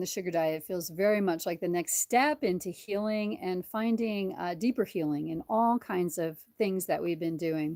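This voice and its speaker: Recorded with a dry, close sound and no echo, a woman speaks at medium pitch and a moderate pace, with ordinary pitch variation. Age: 60s. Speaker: chiropractor and diet video host. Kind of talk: casual live-stream talk. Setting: live stream. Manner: animated; halting.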